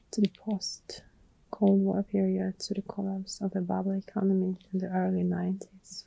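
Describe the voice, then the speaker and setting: Speech in a non-native accent, dry and close with no echo. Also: woman, moderate pace. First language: not English. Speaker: ASMR creator. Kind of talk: ASMR personal attention. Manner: whispering; soft-spoken.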